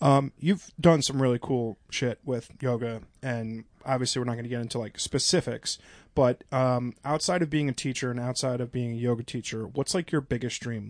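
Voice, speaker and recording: A man speaks with an unremarkable speaking voice at a medium pitch and moderate pace, with fairly even intonation. The sound is dry and close with no echo, against a quiet background. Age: 30s. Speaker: podcast host. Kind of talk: casual chat.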